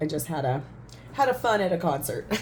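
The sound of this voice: A woman talks at a fairly quick pace in a low pitch. Her tone is slightly mellow, and her pitch swings widely.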